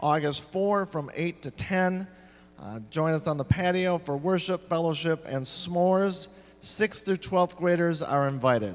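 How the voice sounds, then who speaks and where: A man with a high pitch speaks at a fairly slow pace. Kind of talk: church announcements. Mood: cheerful, jokey. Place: church. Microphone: handheld.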